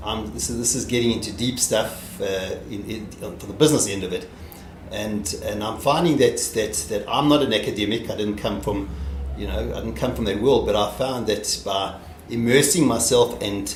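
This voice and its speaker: A man with a fairly low voice speaks at a moderate pace with lively intonation. Noticeable background noise and audible room echo surround him. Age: 60s. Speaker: company founder and startup investor. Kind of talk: interview. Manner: halting, many repetitions and fillers.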